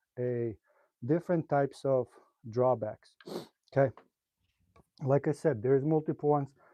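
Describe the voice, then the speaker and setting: Speaking with a slight non-native accent, a man talks at a moderate pace in a fairly high pitch with ordinary pitch variation. Long, frequent pauses break up his speech, and the sound is dry and close with no echo. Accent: slight foreign. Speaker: pool player and streamer. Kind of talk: live stream tutorial. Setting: live stream. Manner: casual, hesitant with fillers.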